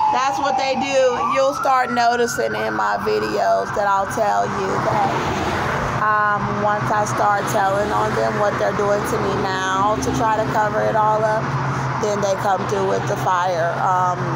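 A woman speaks at a fairly slow pace. Loud background noise runs behind her. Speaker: vlogger. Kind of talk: casual vlog chat. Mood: agitated, earnest. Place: street. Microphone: phone near.

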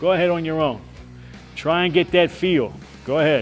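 A man with faint music in the background. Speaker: boxing coach. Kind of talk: hands-on coaching instruction. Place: gym.

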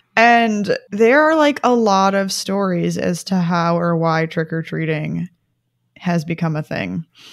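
Over a very clean recording with a silent background, a woman with a plain, everyday voice speaks at a fairly low pitch and a fairly slow pace, with ordinary pitch variation. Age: 20s. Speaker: science podcast co-host. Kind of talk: casual chat.

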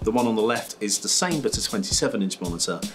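A man talks at a moderate pace. Music plays clearly in the background. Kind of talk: interview answer. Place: studio.

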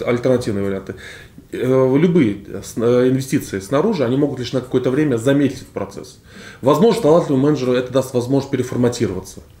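A man's voice with audible room echo. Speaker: economist; guest. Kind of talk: panel discussion. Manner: halting.

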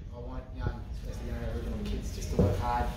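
A man speaks over loud background noise, with audible echo in the room. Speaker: interviewee. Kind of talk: interview answer. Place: office.

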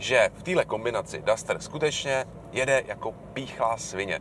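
A man at a fairly slow pace, dry sound with no echo, light background noise behind him. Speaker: car reviewer. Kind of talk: car review commentary. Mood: relaxed, wry humor. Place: car.

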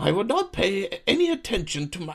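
Putting on a character voice, a man talks fairly quickly at a high pitch with big pitch swings, vocal fry and a fairly bright tone.

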